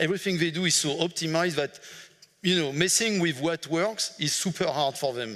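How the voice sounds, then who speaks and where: This man has a French accent. His tone is bright and sharp. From France. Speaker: management consultant. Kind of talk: conference talk. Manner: halting, many fillers.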